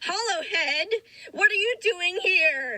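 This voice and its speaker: The speaker is a woman doing a put-on character voice that sounds squeaky. Her pitch is extremely high, and her pace is fairly slow. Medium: read story.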